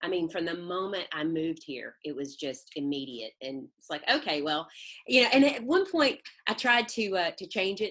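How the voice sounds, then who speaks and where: In a strong Southern US accent, a woman talks with very wide pitch swings. Her pitch is fairly low and her pace is moderate. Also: big swings in loudness. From Mississippi, US South. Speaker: life coach and energy healer. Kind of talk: interview conversation. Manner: warm, hesitant with fillers.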